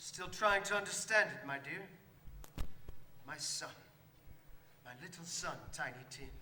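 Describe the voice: Doing a put-on character voice, a man speaks slowly with a fairly high pitch, a bright, sharp tone and ordinary pitch variation, with audible room echo.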